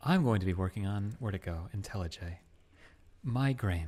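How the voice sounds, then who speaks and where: Soft-spoken and somewhat breathy, a man talks with a very deep, low pitch. His tone is calm, and his pace is moderate. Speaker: programmer live streaming. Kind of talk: live coding stream chat. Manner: soft, calm streaming voice.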